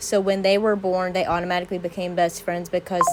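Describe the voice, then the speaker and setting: A woman at medium pitch talks over noticeable background noise. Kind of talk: casual Q&A talk to camera.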